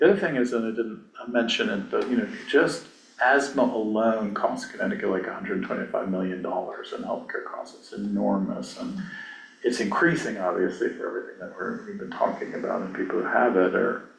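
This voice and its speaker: A man's voice comes with big swings in loudness, audible room echo and noticeable background noise. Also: fairly quick pace. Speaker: author and climate health advocate. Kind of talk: casual group discussion. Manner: fast.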